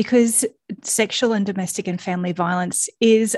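Against a quiet background, a woman with an Australian accent speaks at a medium pitch with ordinary pitch variation, the sound dry and close with no echo. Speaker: podcast host and founder. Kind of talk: solo podcast monologue, reflective. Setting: home recording at dining room table.

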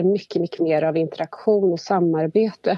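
A woman talks at a moderate pace with fairly even intonation. Hers is an unremarkable speaking voice. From Värmland, Sweden. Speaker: government agency manager. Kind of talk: interview. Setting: phone call.

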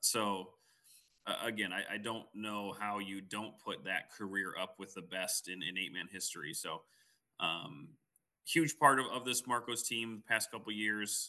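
A man's fairly low, bright and sharp voice in a Midwestern US accent, fairly slow, with ordinary pitch variation. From Quad Cities area. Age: 30s. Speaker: podcast co-host, football analyst. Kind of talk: casual sports podcast chat.

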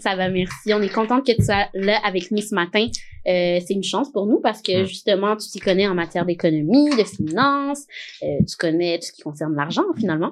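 Speaking at a fairly quick pace with a plain, everyday voice, a woman at medium pitch uses lively intonation and big swings in loudness against a quiet background. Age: 20s. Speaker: podcast host. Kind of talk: casual chat.

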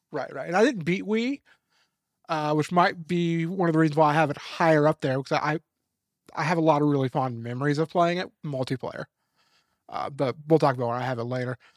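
An ordinary speaking voice with ordinary pitch variation. The sound is dry and close with no echo, on a very clean recording with a silent background. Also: man, fairly high pitch for a man. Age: 30s. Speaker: gaming podcast co-host. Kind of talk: casual chat.

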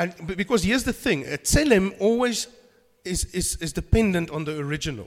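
With lively intonation, a man speaks at a fairly quick pace in a high pitch. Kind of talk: sermon. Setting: church. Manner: halting.

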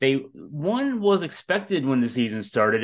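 A plain, everyday voice from a man at medium pitch, moderate pace and lively intonation, over a quiet background. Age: 50s. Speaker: sports podcast host. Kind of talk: casual sports talk. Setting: podcast recording, also on video.

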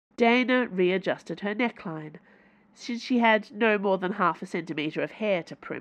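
Pitch shifts in an ordinary way as an unforced voice reads.

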